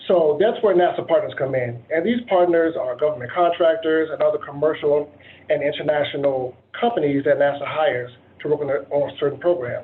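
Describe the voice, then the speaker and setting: A man with an American accent uses a normal speaking voice, fairly high in pitch with ordinary pitch variation. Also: fairly quick pace. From Virginia, Dinwiddie County. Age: 30s. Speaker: engineer. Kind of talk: presentation. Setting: video call.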